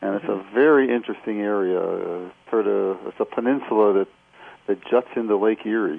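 A man's fairly low-pitched, ordinary speaking voice at a moderate pace, with ordinary pitch variation. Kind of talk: radio interview. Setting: phone call.

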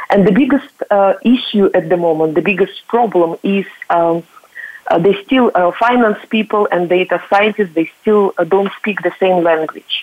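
A woman's voice at medium pitch, very even in loudness, over noticeable background noise. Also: ordinary pitch variation, moderate pace. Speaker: company founder panelist. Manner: hesitant, many fillers.

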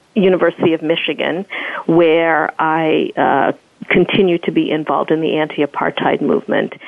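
In a normal speaking voice, a woman talks at a moderate pace with a fairly low pitch. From United States (born in South Africa, moved as young child). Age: 40s. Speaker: professor and activist, author. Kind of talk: interview.

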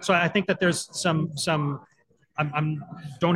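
Speaking with a Canadian accent, a man goes at a fairly quick pace with a fairly high pitch. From Manitoba, Canada. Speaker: continuity management professional, nonprofit board president. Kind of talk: interview. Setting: in person at a conference. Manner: halting, many fillers and restarts.

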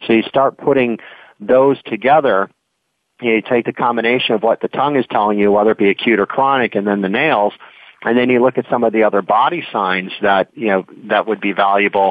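With a plain, everyday voice, a man talks at a fairly quick pace, his pitch medium with ordinary variation and his loudness very even. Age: 50s. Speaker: naturopath. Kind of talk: interview.

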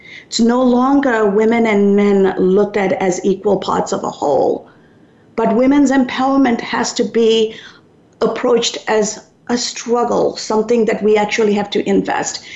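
Noticeable background noise is audible. The talking goes at a moderate pace, with fairly even intonation. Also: woman, fairly high pitch for a woman. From Sri Lanka. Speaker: radio talk show host. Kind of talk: talk radio interview. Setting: radio studio.

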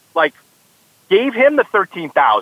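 With an American accent, a man talks in very wide pitch swings. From Southern California. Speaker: horse racing TV analyst. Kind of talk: casual sports chat.

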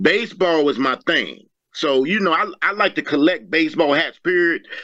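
A man with an American accent, high pitch, lively intonation, a bright, sharp tone and a moderate pace. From Virginia, US. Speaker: model and pageant winner. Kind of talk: personal life story in interview. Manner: halting with fillers.

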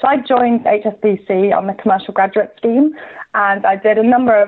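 A woman has an unremarkable speaking voice. Her pitch is medium, with ordinary pitch variation. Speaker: banking digital executive. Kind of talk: radio interview.

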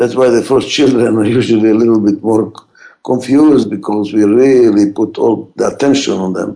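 A man with a strong non-native accent and a dark, mellow tone. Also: medium pitch for a man, fairly even intonation, moderate pace. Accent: heavy foreign. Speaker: radio host and management expert. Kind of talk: pre-recorded talk radio monologue.

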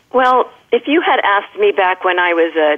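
Over noticeable background noise, a woman speaks at medium pitch with lively intonation. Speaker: fashion and beauty expert. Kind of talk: casual interview chat.

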